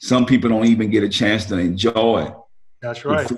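The voice has fairly even intonation over a quiet background. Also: man. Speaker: remote guest. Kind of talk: interview answer. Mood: reflective, advising. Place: home room. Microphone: video call.

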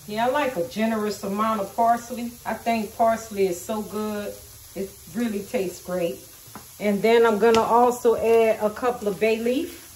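Audible room echo surrounds a woman speaking at a medium pitch with a slightly mellow tone. Her intonation stays fairly even. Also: moderate pace.

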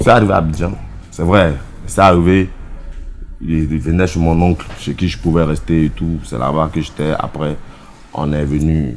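A man speaks at a fairly slow pace in a very deep, low voice with ordinary pitch variation. Long, frequent pauses break up his speech over light background noise. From Ivory Coast, Daloa region; Ivory Coast. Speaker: zouglou singer; interviewee. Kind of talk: interview. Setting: air-conditioned bar. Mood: relaxed, explanatory.

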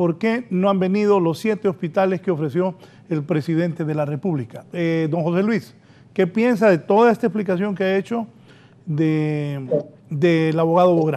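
Moderate pace and ordinary pitch variation. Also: man. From Honduras. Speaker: TV interview host. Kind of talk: interview. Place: studio.

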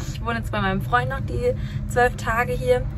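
Loud noise fills the background as a woman speaks very fast. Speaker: vlogger. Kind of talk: casual vlog chat. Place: boat. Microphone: phone near.

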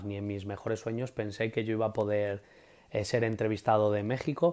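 A man speaks with a Castilian accent in a dark, mellow tone. His pace is moderate, and the background is quiet. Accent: Castilian Spanish (central Spain). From Spain, Madrid. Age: 30s. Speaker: preschool teacher. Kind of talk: interview. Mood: enthusiastic, warm. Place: home room. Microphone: earbuds.

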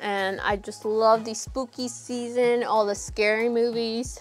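Faint music plays in the background as a woman talks at a fairly slow pace. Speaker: doll vlogger. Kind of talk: casual vlog chat. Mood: cheerful, excited. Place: home room.

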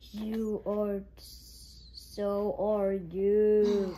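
A female-sounding voice performs a put-on character voice at medium pitch for a woman. Clear background noise runs underneath.

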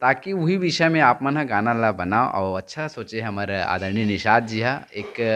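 A man speaks at a fairly slow pace. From Chhattisgarh, India. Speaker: YouTube interviewer. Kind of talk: interview. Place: home room. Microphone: handheld.

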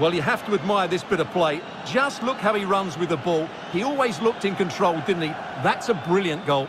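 Lively intonation at a fairly quick pace, loudness very even, with noticeable background noise. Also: man, high pitch for a man. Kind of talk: co-commentator analysis, summarizing and explaining replays. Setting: video game commentary over match footage. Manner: calm, measured, analytical.

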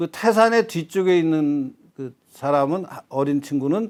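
Speaking with lively intonation, a man uses a fairly high voice. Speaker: retired professor. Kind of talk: interview on history.

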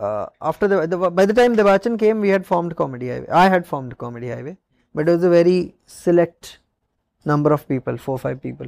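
A man's high voice at a very fast pace, with lively intonation, a dry sound with no echo and a quiet background. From India, Odisha. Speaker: stand-up comedian. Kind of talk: casual chat. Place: studio.

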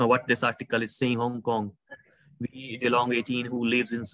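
A man talks at a fairly quick pace in a bright, sharp tone. The sound is dry, with no echo. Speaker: university lecturer. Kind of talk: lecture. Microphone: video call.

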